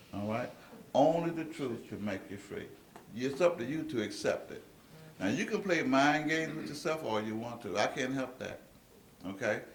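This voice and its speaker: A man talks at a fairly high pitch with lively intonation and a moderate pace, broken by long, frequent pauses. Noticeable background noise and audible room echo fill the recording. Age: 60s. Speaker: speaker at a meeting. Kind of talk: lecture to an audience. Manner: animated.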